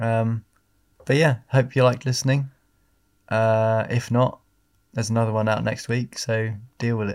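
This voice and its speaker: A man's medium-pitched voice with an English accent, flat and monotone at a moderate pace, with long, frequent pauses on a very clean recording with a silent background. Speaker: podcast host. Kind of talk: casual chat.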